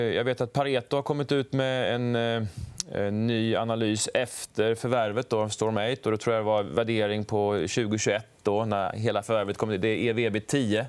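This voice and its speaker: At a fairly slow pace, a man with a plain, everyday voice speaks at a medium pitch with very even loudness. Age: 40s. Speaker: fund manager. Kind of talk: stock market analysis discussion.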